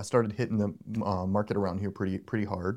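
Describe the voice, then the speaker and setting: With an American accent, a man speaks at a very fast pace in a fairly low pitch on a very clean recording with a silent background. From US South, Charlotte, North Carolina. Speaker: motion designer and art director. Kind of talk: interview. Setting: studio.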